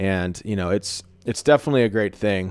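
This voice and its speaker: With an ordinary speaking voice, a man talks at a fairly quick pace and a fairly low pitch in a very clean recording with a silent background. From Texas. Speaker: podcast host and content creator. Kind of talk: casual chat.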